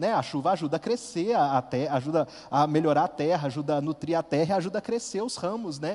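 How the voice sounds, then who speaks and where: With an interior Minas Gerais accent, a man talks at a moderate pace in a fairly high voice, his intonation lively. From interior of Minas Gerais, Brazil (Furnas region). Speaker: lay preacher, youth group coordinator. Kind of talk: sermon.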